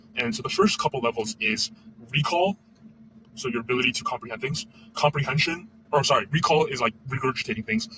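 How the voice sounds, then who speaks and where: Bright and sharp in tone, a man at a medium pitch talks very fast with lively intonation, broken by long, frequent pauses. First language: not English. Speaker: former educator, vlogger. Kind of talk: casual monologue. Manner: halting, many fillers.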